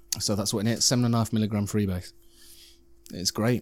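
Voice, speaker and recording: In a British accent, a man with fairly low pitch talks with monotone, flat intonation. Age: 40s. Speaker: podcast host. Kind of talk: casual chat.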